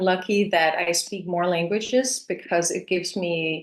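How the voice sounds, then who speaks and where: At a medium pitch, a woman talks with a Danish accent. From Denmark and New Mexico. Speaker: actress. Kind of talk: interview. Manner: hesitant, many fillers.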